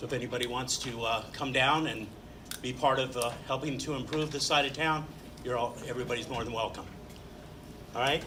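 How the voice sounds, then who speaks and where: A man speaks at a medium pitch with fairly even intonation, leaving long, frequent pauses, while noticeable background noise and audible room echo fill the recording. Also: fairly quick pace. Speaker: neighborhood association president. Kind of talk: welcome remarks. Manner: halting.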